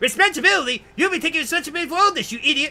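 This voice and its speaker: Using a put-on character voice, a man speaks very fast in a nasal, extremely high pitch. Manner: stupid-sounding, arrogant.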